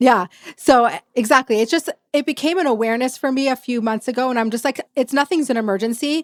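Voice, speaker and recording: A woman speaks at a very fast pace with a high pitch and ordinary pitch variation. The sound is dry and close, with no echo. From Texas. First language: Yiddish. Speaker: podcast host. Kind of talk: podcast interview.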